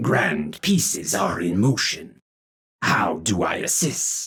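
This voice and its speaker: A man's put-on character voice, very slow, with very wide pitch swings. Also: medium pitch for a man. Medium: read story. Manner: formal, stilted, speaks of himself in third person.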